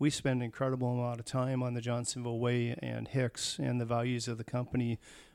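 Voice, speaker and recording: With hardly any pauses, a man talks in a normal speaking voice. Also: medium pitch for a man. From US Pacific Northwest, Tacoma, Washington. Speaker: food company employee. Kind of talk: interview.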